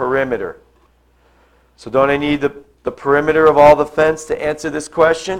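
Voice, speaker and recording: A man's fairly high voice at a moderate pace. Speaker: math teacher. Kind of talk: classroom lecture. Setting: classroom. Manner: animated.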